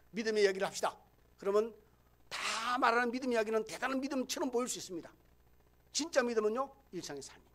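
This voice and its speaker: A man speaks very fast at an extremely high pitch, with ordinary pitch variation. His loudness swings widely, and he takes long, frequent pauses. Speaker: pastor. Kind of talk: sermon. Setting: church.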